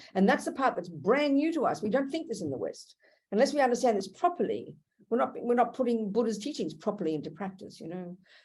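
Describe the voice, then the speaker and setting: A woman talking very fast at a fairly high pitch, with very wide pitch swings. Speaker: Buddhist nun teacher. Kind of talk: dharma teaching; casual chat. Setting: video call. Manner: animated.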